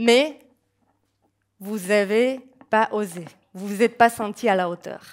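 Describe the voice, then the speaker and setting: A woman speaks at a very slow pace with long, frequent pauses and big swings in loudness. Her pitch is fairly high, with ordinary variation. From Slovakia. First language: Slovak (speaking French). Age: young. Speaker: nutrition coach. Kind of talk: public talk. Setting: stage with audience.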